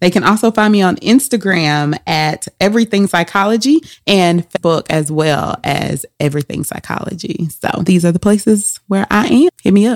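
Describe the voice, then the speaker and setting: With hardly any pauses, a woman of medium pitch talks at a moderate pace with lively intonation, her voice sounding dry and close with no echo. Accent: Southern US. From Louisiana. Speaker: psychologist. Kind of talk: casual interview.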